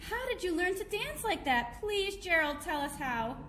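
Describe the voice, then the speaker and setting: A woman puts on a character voice at an extremely high pitch and a moderate pace. Background noise is clearly audible. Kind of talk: bedtime story. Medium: read story.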